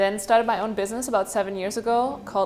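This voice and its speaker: Her voice is pitched fairly high. This woman talks with a German accent. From Germany. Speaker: marketing agency founder, panelist. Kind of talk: panel introduction.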